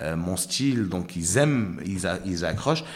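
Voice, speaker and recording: There is audible room echo as a man speaks at a fairly slow pace with a fairly low pitch. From Morocco and Ivory Coast. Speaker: comedian. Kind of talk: interview chat.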